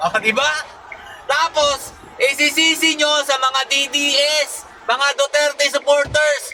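A man with a Filipino accent, extremely high-pitched, in a raised, projected voice at a very slow pace over noticeable background noise. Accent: Filipino (Tagalog). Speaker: political commentator vlogger. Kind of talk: angry political rant. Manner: scolding, sarcastic, taunting the young protesters; loud, emphatic, mocking with repeated 'di ba?' tags.

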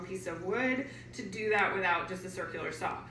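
A woman talks at a fairly quick pace with ordinary pitch variation, her voice carrying audible room echo over light background noise. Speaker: DIY builder; workshop instructor. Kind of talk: tutorial. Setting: outdoors. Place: garage. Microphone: camera far.

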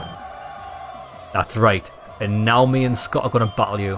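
Plainly a natural reading voice.

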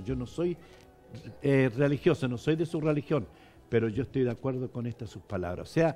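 Faint music plays in the background as a man talks at a fairly high pitch. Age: 70s. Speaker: bishop. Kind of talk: interview. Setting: church. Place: studio. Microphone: headset.

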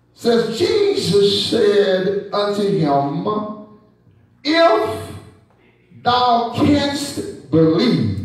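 With strong room echo, the speaker uses a Southern US accent and lively intonation at a very slow pace. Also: man. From Texas. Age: 70s. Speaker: bishop and preacher; bishop, preacher. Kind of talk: sermon. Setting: church. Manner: animated. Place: church.

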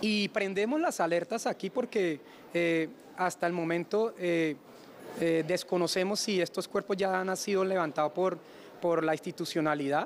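A man's high-pitched voice at a fairly slow pace, with ordinary pitch variation, long and frequent pauses, very even loudness, and light background noise. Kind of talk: interview answer. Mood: concerned, serious. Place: street. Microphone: handheld.

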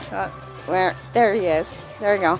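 A woman's raised, projected voice over clear background music, dry with no echo. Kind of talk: casual vlog chat. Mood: cheerful, playful. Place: garden. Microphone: phone near.

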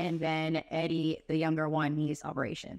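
A woman talks in a very deep, low pitch. The sound is dry with no echo, and the background is quiet. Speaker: guest. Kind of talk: interview answer. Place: cafe. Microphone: studio mic.

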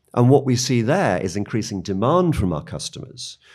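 Here a man with a British accent speaks at a moderate pace. The recording is very clean, with a silent background. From United Kingdom. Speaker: media company policy executive. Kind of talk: interview.

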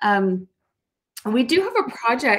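The speaker is a woman. Her tone is warm. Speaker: talk show host. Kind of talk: interview. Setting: studio. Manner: warm, effusive. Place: home room. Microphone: webcam.

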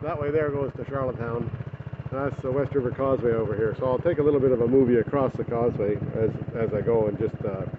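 Noticeable background noise is present throughout. The words come very fast, with fairly even intonation. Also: man. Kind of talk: casual vlog chat. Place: street. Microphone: phone near.

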